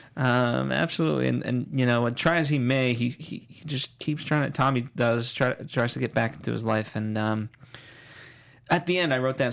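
In a plain, everyday voice, a man speaks at a moderate pace and medium pitch. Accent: American. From New York, the Bronx. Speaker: TV aftershow host. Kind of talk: casual TV recap chat.

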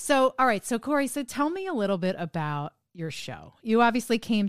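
In an American accent, a woman speaks at a fairly quick pace on a very clean recording with a silent background and a dry, close sound with no echo. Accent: sanitized New Jersey, slight. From New Jersey. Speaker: podcast host. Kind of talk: interview conversation, casual.

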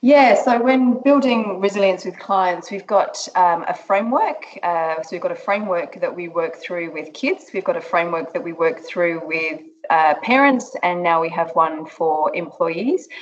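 With hardly any pauses, a woman talks in lively intonation over noticeable background noise. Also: medium pitch for a woman, moderate pace. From England. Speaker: resilience trainer and business founder. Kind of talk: interview.

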